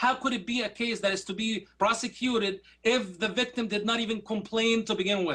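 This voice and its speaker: A man's raised, projected voice in an Arabic accent, high in pitch and at a fairly quick pace. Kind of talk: formal debate rebuttal. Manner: animated.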